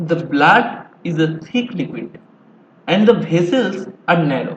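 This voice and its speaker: Using lively intonation, a man with a high pitch and an Indian accent speaks at a very slow pace. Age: 20s. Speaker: amateur educational video maker. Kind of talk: tutorial. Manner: halting.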